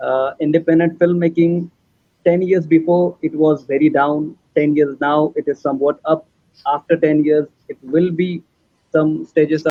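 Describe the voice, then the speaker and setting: A man with a Marathi accent, fairly high in pitch, at a moderate pace and in a monotone, flat intonation. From India, Maharashtra. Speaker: filmmaker. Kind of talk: panel discussion.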